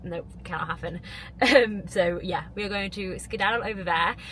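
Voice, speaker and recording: A woman talks at a fairly quick pace with a medium pitch and ordinary pitch variation. Noticeable background noise is present. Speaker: vlogger and coach. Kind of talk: casual vlog talk. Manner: mumbling.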